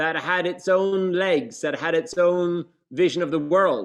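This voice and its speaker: Over a quiet background, a man with a high pitch talks at a fairly slow pace with ordinary pitch variation. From Ireland. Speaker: brand co-founder and president. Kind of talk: business presentation. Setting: video call. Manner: informal, hesitant.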